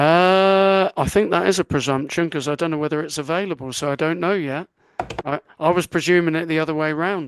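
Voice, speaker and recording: Fairly high for a man, the voice carries a southern English accent at a fairly quick pace, with fairly even intonation and a dry, close sound with no echo. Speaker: podcast co-host. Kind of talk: casual chat.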